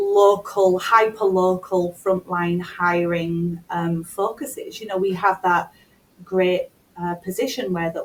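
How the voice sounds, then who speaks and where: Very slow, fairly even speech in a British accent, with big swings in loudness. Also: woman, medium pitch for a woman. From United Kingdom. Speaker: talent acquisition executive. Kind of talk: interview.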